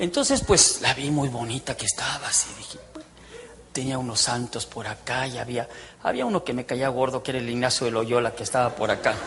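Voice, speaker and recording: The delivery is animated and fairly quick. Noticeable background noise sits behind it. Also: man. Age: 60s. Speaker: former priest giving testimony. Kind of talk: testimony.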